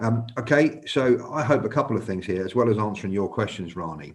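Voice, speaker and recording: A man with a North London accent at a very fast pace. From North London, England. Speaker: senior police officer. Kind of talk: live panel talk. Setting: live online stream. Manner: halting, many fillers.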